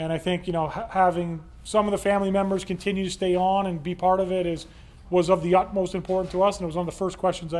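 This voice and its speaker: Speaking at a very fast pace with a Canadian accent, a man uses a high pitch and a monotone, flat intonation. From Canada, northern Ontario. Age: 40s. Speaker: company executive. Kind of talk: speech to employees.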